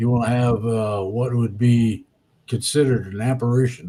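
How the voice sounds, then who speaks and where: A man speaks at a medium pitch with a dark, mellow, somewhat breathy tone. His intonation stays fairly even and his pace is fairly slow. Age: 70s. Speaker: spiritual commentator. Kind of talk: casual chat.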